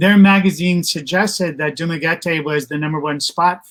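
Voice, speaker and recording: Intonation stays fairly even while the speaker keeps a moderate pace. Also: man. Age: 60s. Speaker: retired expat channel co-host. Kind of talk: casual live stream chat. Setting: Facebook live stream. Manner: halting, many fillers.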